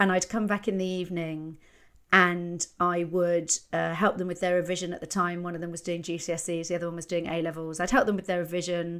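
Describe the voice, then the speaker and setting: Speaking fairly quickly in a fairly low pitch, a woman has a plain, everyday voice, captured on a very clean recording with a silent background. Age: 50s. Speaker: comedian. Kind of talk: casual chat.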